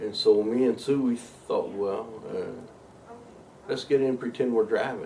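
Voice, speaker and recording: A man with a Kentucky accent speaks in a dark, mellow tone at a medium pitch. He keeps a moderate pace and fairly even intonation. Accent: Kentucky Southern US. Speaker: interviewee recalling his life. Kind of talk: life story interview.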